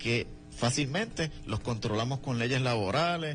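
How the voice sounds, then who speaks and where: A man speaks at a fairly slow pace in a medium pitch, somewhat breathy, with ordinary pitch variation. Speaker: political activist. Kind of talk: radio interview.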